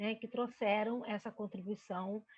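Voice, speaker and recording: A woman's voice, fairly high in pitch. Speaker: researcher presenting study. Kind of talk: academic lecture presentation. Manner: hesitant with fillers.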